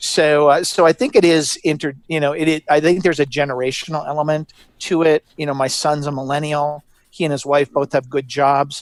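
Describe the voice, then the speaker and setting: A man speaks in an unremarkable speaking voice, fairly high in pitch, with fairly even intonation. The sound is dry and close, with no echo. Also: fairly quick pace. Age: 60s. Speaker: gender strategist. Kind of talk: interview.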